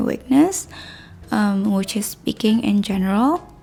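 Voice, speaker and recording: Over noticeable background noise, a woman with a non-native accent speaks at a medium pitch. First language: not English. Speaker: YouTuber and artist. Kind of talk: scripted vlog talk to camera.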